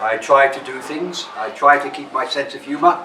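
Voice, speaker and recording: A man speaks at a fairly slow pace with a southern English accent. There is audible room echo and noticeable background noise. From England (London). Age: 70s. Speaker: drama teacher. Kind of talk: workshop talk to students.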